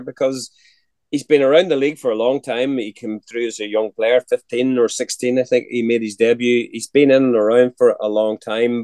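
A man with a Northern Irish accent at a fairly quick pace, in a dry, close sound with no echo. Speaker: podcast host. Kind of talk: casual chat.

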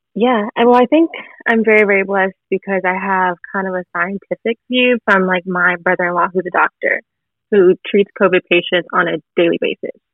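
A woman speaks in a normal speaking voice at a medium pitch, with ordinary pitch variation and a moderate pace. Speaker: audience member. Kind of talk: interview.

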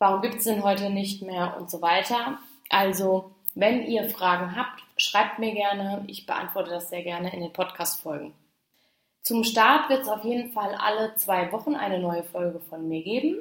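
A woman talks at a moderate pace in an unremarkable speaking voice. Her loudness swings widely. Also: medium pitch for a woman, ordinary pitch variation. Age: 20s. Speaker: podcast host, social media coach. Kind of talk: solo podcast monologue.

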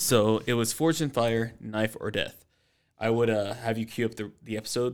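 The recording is very clean, with a silent background, and carries an ordinary speaking voice from a man at medium pitch. He keeps a moderate pace and fairly even intonation. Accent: American. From US South, Georgia (Stone Mountain). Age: 30s. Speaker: martial artist and security officer. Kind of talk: casual chat. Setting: recording at a brewery.

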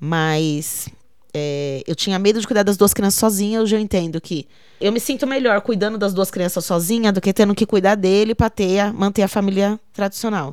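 This woman has an unremarkable speaking voice, with a medium pitch, ordinary pitch variation and a moderate pace. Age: 30s. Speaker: poet and arts educator. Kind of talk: interview testimony.

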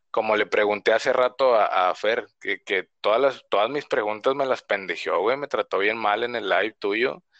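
A man at a moderate pace with hardly any pauses, dry and close with no echo, over a quiet background. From northern Mexico, Reynosa, Tamaulipas. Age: 30s. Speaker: podcast guest, fan. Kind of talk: casual chat.

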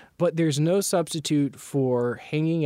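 Here a man talks with an American accent in a dark, mellow tone and ordinary pitch variation. The recording is very clean, with a silent background. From US South, North Carolina. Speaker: machine learning researcher, assistant professor. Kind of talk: interview.

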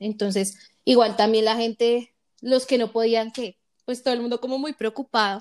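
The voice is monotone and flat at a moderate pace, dry and close with no echo on a very clean recording with a silent background. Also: woman, fairly high pitch for a woman. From Colombia, Bogotá. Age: 20s. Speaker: podcast host. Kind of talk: casual chat.

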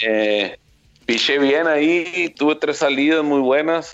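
A man speaks fairly slowly, his pitch varying in an ordinary way, while music plays behind him. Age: 40s. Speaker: former baseball pitcher, now coach. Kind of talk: interview.

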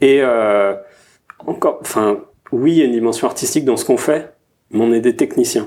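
A man is speaking. His pace is moderate. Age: 30s. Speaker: product designer. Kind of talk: casual chat.

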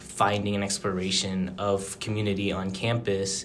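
With an American accent, a man talks at a fairly slow pace in an ordinary speaking voice. His pitch is fairly low. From Phoenix, Arizona. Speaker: student podcast co-host. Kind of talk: podcast interview. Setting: call.

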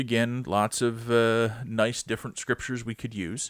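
With a plain, everyday voice, a man talks at a moderate pace and medium pitch in a very clean recording with a silent background. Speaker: pastor. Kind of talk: casual chat between co-host pastors, podcast. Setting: studio, recorded podcast. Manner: friendly, easygoing, conversational.

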